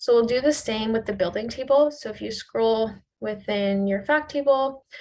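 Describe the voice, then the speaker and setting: A woman with a fairly high pitch speaks at a moderate pace with ordinary pitch variation in a normal speaking voice. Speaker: cloud consultant leading a workshop. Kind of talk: software tutorial workshop. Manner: casual.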